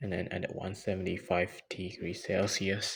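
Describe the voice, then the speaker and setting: A man speaks with a very deep, low pitch and a somewhat breathy quality. His intonation stays flat and monotone. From Myanmar. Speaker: student. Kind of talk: casual cooking vlog talk to camera. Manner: relaxed, chill.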